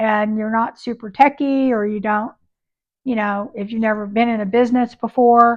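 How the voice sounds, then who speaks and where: Over a quiet background, a woman with a fairly high pitch speaks at a moderate pace in an ordinary speaking voice. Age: 60s. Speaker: YouTuber and upcycling booth seller. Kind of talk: casual vlog talk to camera. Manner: conversational with many fillers.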